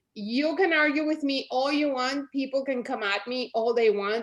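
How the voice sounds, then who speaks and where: A woman with a Spanish accent speaks fairly slowly in a high pitch with ordinary pitch variation. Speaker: network marketing leader. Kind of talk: motivational pep talk. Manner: animated.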